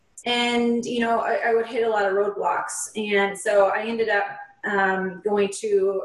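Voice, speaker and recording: A woman at medium pitch with a slight Upper Midwest accent, fairly slow pace and ordinary pitch variation, over noticeable background noise. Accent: Upper Midwest, slight Canadian-like twinge. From Upper Peninsula, Michigan. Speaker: nurse and author. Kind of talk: interview about her experience and book.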